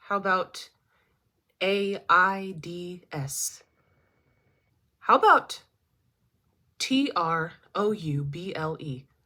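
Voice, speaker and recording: At a very slow pace with long, frequent pauses, a woman of medium pitch uses lively intonation and big swings in loudness, recorded very cleanly against a silent background. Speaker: college student. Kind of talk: class speech. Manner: spelling letters out slowly.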